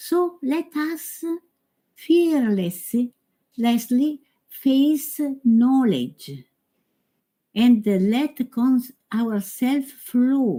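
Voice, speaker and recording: Slowly and with long, frequent pauses, a woman with an Italian accent speaks at high pitch in a dark, mellow tone with lively intonation. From Italy. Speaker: yoga teacher. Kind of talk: conference talk. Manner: halting.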